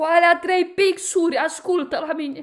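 Against a quiet background, a woman speaks at a fairly slow pace in an animated tone. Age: 30s. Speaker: YouTuber, commentator. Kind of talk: critical video monologue. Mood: indignant, confrontational. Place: home room. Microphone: phone near.

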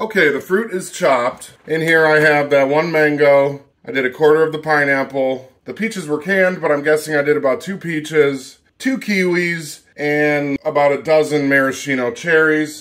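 The speech runs at a moderate pace with hardly any pauses and ordinary pitch variation. The background is quiet. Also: man. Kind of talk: tutorial. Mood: upbeat, enthusiastic. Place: kitchen.

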